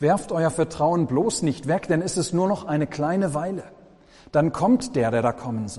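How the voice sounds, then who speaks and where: Speaking at a moderate pace, a man with a fairly high voice uses lively intonation and has a warm, dark, mellow tone. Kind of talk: sermon.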